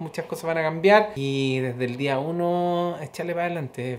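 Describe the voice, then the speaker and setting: A man's high voice moves at a moderate speed, its intonation fairly even. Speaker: vlogger. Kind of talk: casual vlog chat. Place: home room. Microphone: phone near.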